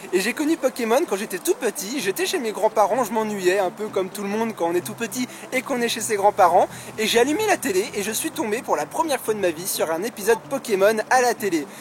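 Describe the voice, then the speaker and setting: A man with a high pitch speaks at a fairly quick pace with lively intonation over noticeable background noise. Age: 20s. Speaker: YouTuber, Pokémon card collector. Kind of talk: casual Q&A vlog. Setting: outdoors in a park.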